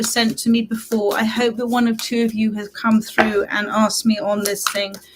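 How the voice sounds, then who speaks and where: A fairly high-pitched woman at a fairly quick pace, fairly even intonation, noticeable background noise behind her. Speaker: tarot reader. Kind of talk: live stream tarot reading. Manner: warm, chatty.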